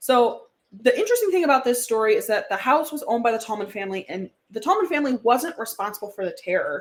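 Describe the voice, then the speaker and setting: Talking at a very fast pace with a Wisconsin accent, the woman uses a high pitch and very wide pitch swings. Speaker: podcast co-host. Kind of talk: casual chat.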